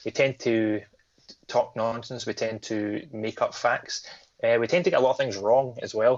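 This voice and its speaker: A man speaks with a Scottish accent in a medium pitch. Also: ordinary pitch variation. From Scotland. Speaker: horror podcast co-host. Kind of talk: casual chat. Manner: fast.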